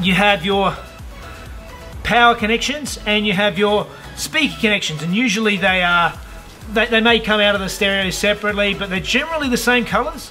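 A man speaks in a raised, projected voice at a moderate pace while faint music plays in the background. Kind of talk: tutorial. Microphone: camera far.

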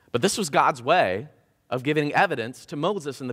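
A man at a fairly high pitch with vocal fry, very wide pitch swings and a fairly quick pace over a quiet background. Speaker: preacher giving a sermon. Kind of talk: casual, humorous sermon delivery. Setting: church service. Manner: fast talker. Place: church. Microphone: headset.

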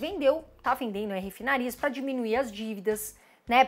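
An animated tone from a woman with a Brazilian accent. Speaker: investing YouTuber. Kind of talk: informal educational vlog. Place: home room.

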